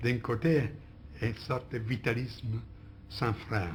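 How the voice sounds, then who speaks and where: A somewhat breathy man at a medium pitch, fairly slow pace and ordinary pitch variation. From Italy. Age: old. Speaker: philosopher, interviewee. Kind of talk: interview answer. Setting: archive recording.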